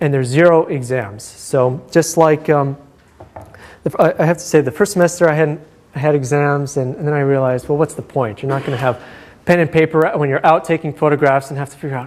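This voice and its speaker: The speech moves at a very fast pace with fairly even intonation over noticeable background noise. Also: man, fairly high pitch for a man. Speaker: university lecturer. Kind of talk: lecture. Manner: hesitant, many fillers.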